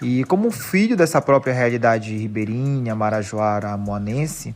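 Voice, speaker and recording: A man's unremarkable speaking voice at a medium pitch, with ordinary pitch variation and a moderate pace. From Brazil, Pará, Marajó (Muaná). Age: 20s. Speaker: teacher and history researcher. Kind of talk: podcast interview.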